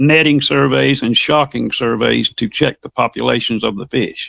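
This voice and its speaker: A man with a Southern US accent at a moderate pace, in a dry, close sound with no echo. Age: 60s. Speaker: fiction writer. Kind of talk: interview.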